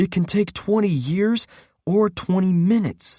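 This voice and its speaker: A put-on character voice from a man, high in pitch, in a dry, close sound with no echo. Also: moderate pace. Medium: read story. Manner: skeptical, argumentative.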